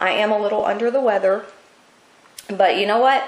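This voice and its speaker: A woman with a fairly high voice and ordinary pitch variation speaks over noticeable background noise. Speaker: craft tutorial maker. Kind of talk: tutorial. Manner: casual, chatty.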